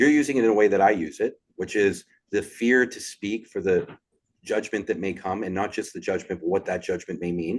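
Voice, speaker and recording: Against a quiet background, a man with an unremarkable speaking voice talks at a fairly quick pace in a fairly low pitch with ordinary pitch variation. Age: 40s. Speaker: podcast host. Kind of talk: casual chat.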